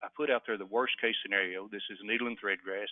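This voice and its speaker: A man speaks at a very fast pace. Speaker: webinar presenter, native seed producer. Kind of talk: webinar presentation. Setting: online webinar.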